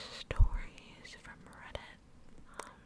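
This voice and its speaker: Through noticeable background noise, a woman is whispering. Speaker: ASMR creator. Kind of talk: casual intro talk to camera. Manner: whispered, soft.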